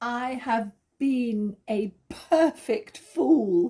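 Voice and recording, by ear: A woman uses a put-on character voice, fairly high in pitch with ordinary pitch variation and a very slow pace. Her tone is dark and mellow with a slightly husky edge.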